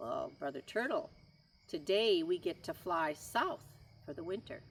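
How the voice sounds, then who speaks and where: A put-on character voice at middle pitch, with very wide pitch swings and a moderate pace. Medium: read story. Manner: friendly.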